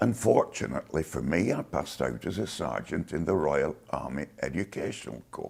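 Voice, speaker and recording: A man with a very deep, low pitch speaks at a moderate pace with very wide pitch swings and hardly any pauses. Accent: Lancashire. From northern England, Lancashire (Chorley). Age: 70s. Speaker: war veteran. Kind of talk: oral history interview.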